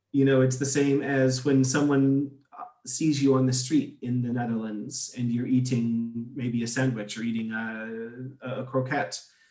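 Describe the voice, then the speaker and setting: A man at a moderate pace, medium in pitch, with monotone, flat intonation and music in the background. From United States. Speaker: expat interviewee. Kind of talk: interview. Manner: halting, repeats words.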